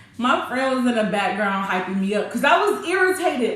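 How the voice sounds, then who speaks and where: Fairly quick, high-pitched speech from a woman, with noticeable background noise and audible echo from the room. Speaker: YouTuber telling a personal story. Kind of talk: storytime, casual monologue. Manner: animated, voice rising when irritated.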